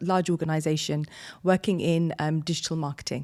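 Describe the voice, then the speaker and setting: This woman speaks in a British accent at a moderate pace. The recording is very clean, with a silent background. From London, England. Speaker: business consultant. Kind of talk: interview. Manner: hesitant, many fillers.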